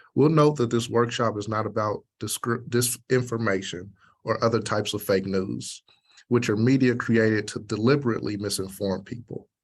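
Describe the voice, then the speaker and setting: A man with an American accent at a medium pitch, with an ordinary speaking voice, fairly even intonation and a moderate pace against a quiet background. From United States. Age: 30s. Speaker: radio program producer and journalist. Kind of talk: workshop presentation. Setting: virtual workshop.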